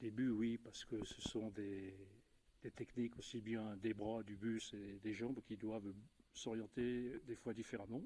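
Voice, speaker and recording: A man with a medium-pitched, dark, mellow voice speaks at a fairly slow pace in a flat monotone. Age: 60s. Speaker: aikido practitioner, retiree. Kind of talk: casual interview. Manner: halting.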